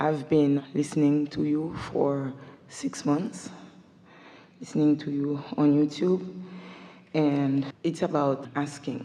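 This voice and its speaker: A woman with a non-native accent speaks in a very deep, low pitch with fairly even intonation. Her pace is very slow, broken by long, frequent pauses. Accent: foreign. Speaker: audience member at a seminar. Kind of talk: audience question in a live seminar.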